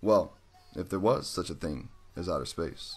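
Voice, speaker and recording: At a moderate pace, an unremarkable speaking voice talks with lively intonation. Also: man. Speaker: conspiracy video host. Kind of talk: monologue presentation.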